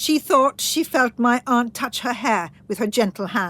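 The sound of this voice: A woman speaks slowly with a fairly high pitch and a fairly bright tone. Her intonation is lively.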